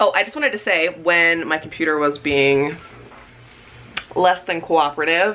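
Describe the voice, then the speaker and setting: A woman's fairly low voice with ordinary pitch variation and long, frequent pauses, over noticeable background noise. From Canada. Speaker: vlogger. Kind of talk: casual vlog talk to camera. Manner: animated; fast.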